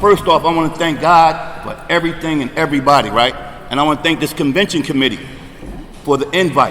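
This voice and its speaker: A man with an American accent talks at a fairly quick pace. His pitch is fairly high, with noticeable background noise behind him. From New Jersey, greater Camden area. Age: 60s. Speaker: recovery speaker. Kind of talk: recovery testimony at convention. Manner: animated.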